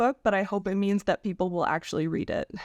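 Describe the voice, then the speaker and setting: A woman with a Canadian accent and an unremarkable speaking voice talks fairly quickly at a medium pitch, recorded dry and close with no echo over a quiet background. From Canada. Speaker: historian. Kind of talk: interview.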